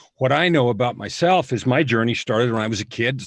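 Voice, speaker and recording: At a moderate pace, a man talks at medium pitch. He has an ordinary speaking voice. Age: 60s. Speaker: author and coach. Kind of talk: testimony.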